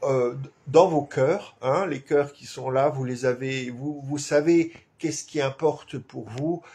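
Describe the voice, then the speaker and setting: Speaking at a very slow pace with an Alsatian accent, a man uses a fairly high pitch and fairly even intonation. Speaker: activist clown and live show host. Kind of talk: weekly live stream address. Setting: home live stream with flag behind. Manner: halting, many fillers.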